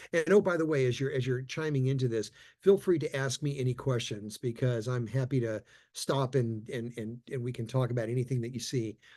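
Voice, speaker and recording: A man speaks at a moderate pace in a medium pitch. His voice is somewhat breathy. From Texas, Austin. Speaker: leadership trainer. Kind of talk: conference talk. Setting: virtual conference. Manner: repetitive stammering starts; animated.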